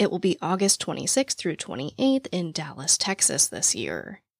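A woman speaks at a moderate pace in a low, raspy voice with a slightly husky edge and vocal fry, her pitch swinging very widely, in a dry, close sound with no echo.

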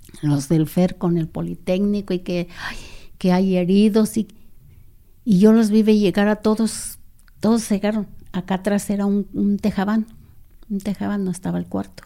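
Pausing long and often at an otherwise moderate pace, a woman with a medium pitch and a dark, mellow tone keeps her intonation fairly even on a very clean recording with a silent background. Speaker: sister of former guerrilla. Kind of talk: interview testimony.

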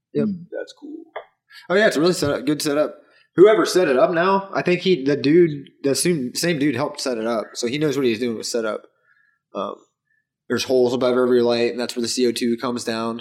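A man with an American accent, fairly high in pitch, speaking at a fairly quick pace. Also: lively intonation. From Dayton, Ohio, US Midwest. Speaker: cannabis grower. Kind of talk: casual chat. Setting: indoor grow room.

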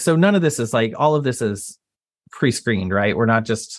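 A man with an American accent and a normal speaking voice talks at a medium pitch with lively intonation, in a very clean recording with a silent background. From Texas. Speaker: property insurance lawyer and entrepreneur. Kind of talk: interview.

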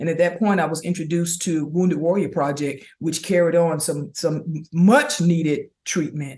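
A woman with an American accent and a fairly low pitch speaks at a moderate pace, somewhat breathy, with fairly even intonation and hardly any pauses. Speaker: army veteran and speaker. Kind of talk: interview. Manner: halting.

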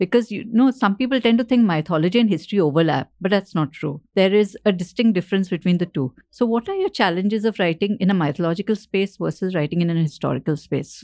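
A woman with an Indian accent talks at a very fast pace with hardly any pauses. Her medium-pitched voice has a dark, mellow tone and lively intonation, and the sound is dry and close with no echo. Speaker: podcast host and author. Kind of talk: casual interview.

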